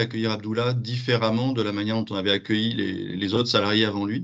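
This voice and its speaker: With a slight southwestern French accent, a man speaks at a fairly low pitch. His intonation is fairly even. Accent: slight southwest French. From southwest France. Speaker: business founder. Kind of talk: webinar panel talk.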